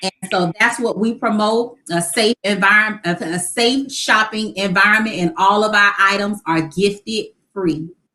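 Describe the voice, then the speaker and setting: A woman with an American accent talks at a moderate pace and a medium pitch, hardly pausing at all. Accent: Geechee accent from coastal Georgia, slight. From Savannah, Georgia (Chatham County), US South. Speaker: nonprofit founder and homemaker. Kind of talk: casual interview chat.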